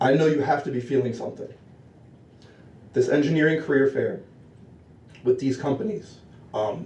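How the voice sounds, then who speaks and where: A man with a fairly high, shaky voice and a nervous tone speaks at a moderate pace with ordinary pitch variation. His speech has long, frequent pauses. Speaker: public commenter at student senate. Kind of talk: public comment speech. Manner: nervous, shaky.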